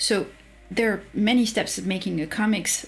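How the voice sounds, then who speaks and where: This woman's voice has vocal fry. She speaks at a moderate pace. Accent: French. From France. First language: French. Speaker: streamer reading and commenting on a writing course. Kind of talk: livestream commentary, reading aloud course text. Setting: livestream.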